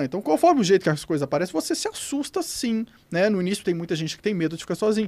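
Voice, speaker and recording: A man races along at a very fast pace, his high voice making very wide pitch swings. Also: very clean recording, silent background. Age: 40s. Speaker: paranormal researcher. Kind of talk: interview answers in live panel. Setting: studio live with audience.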